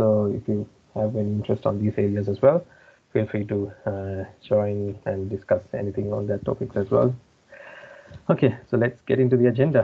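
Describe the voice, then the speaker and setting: The man's voice is fairly low and somewhat breathy. His pitch varies in an ordinary way. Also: moderate pace. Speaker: software consultant presenting a feature. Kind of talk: online tutorial demo. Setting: video call with screen sharing.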